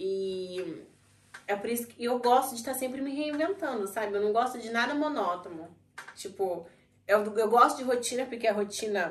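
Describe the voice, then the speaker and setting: Her intonation is lively and her pitch fairly high. The woman keeps a moderate pace. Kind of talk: casual chat.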